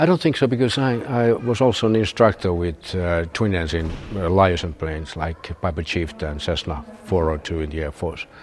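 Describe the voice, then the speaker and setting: With a Finnish accent, a man speaks at a moderate pace in a very deep, low voice, with noticeable background noise behind him. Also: ordinary pitch variation. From Finland, Turku. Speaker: retired military and airline pilot. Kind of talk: interview. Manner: halting, many filler sounds.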